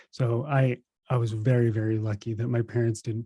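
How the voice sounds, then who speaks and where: A man's medium-pitched, somewhat breathy voice with a dark, mellow tone, monotone and flat in intonation at a fairly quick pace, on a very clean recording with a silent background and a dry, close sound with no echo. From New Jersey, US. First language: Russian. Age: 30s. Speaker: spiritual teacher. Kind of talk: podcast interview.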